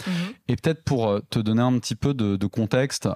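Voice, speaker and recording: A man with a dark, mellow tone speaks at a moderate pace in a very clean recording with a silent background and a dry, close sound with no echo. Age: 30s. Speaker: entrepreneur, company cofounder. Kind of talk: interview conversation. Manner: hesitant, many fillers and repetitions.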